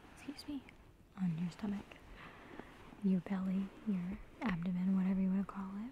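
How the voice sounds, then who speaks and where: A soft-spoken woman with a gentle tone and fairly even intonation, in a dry space with no echo and light background noise. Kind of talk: soft-spoken role-play, addressing the viewer. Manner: soft-spoken, gentle, close to the mic. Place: home room. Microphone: phone near.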